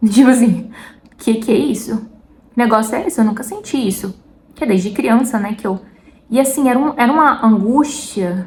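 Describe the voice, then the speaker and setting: Over noticeable background noise, a woman with a strong São Paulo interior accent speaks at a fairly high pitch with ordinary pitch variation. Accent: strong caipira. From interior of São Paulo state, Brazil. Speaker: lifestyle and faith vlogger. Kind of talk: casual faith talk to camera. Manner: chatty, informal.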